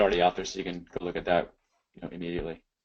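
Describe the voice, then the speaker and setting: A man with an American accent, quiet background. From US Midwest. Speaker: tech presenter. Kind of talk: webinar Q&A discussion. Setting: live webinar.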